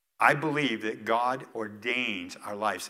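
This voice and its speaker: The tone here is bright and sharp. It comes from a man with an American accent. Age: 60s. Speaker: retired pastor. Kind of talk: sermon. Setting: church.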